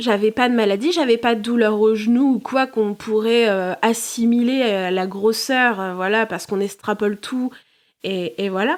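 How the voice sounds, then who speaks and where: A woman speaks at a moderate pace in a fairly high voice with ordinary pitch variation. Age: 20s. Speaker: therapist, podcast guest. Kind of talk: interview testimony. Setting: podcast recording. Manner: hesitant, many fillers.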